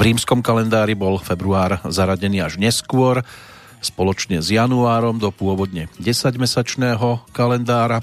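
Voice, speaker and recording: A man talks fairly slowly at a medium pitch with ordinary pitch variation. Noticeable background noise is present. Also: very even loudness. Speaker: radio music show host. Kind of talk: radio music show presenting.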